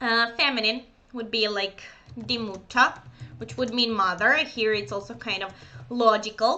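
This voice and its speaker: In a Serbian accent, a fairly high-pitched woman speaks with vocal fry and long, frequent pauses amid audible room echo. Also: ordinary pitch variation, moderate pace, big swings in loudness. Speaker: German teacher. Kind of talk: lecture. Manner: hesitant, many fillers.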